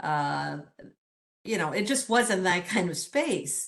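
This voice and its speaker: A woman with a Michigan accent talks at a very slow pace. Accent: US Midwest (Michigan). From Detroit, Michigan (born in Mexico City). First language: Spanish. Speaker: engineering professor.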